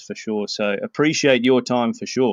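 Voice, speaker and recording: A man speaks at a moderate pace with an Australian accent. His pitch sits in the middle range. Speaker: author. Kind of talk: casual interview. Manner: friendly, animated.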